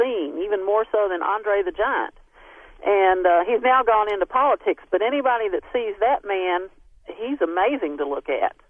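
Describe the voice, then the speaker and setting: A woman speaks at a moderate pace with a Southern US accent. Her voice sits fairly high and moves through ordinary pitch variation. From Texas. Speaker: scientist, DNA researcher. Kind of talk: radio interview. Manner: hesitant, many fillers.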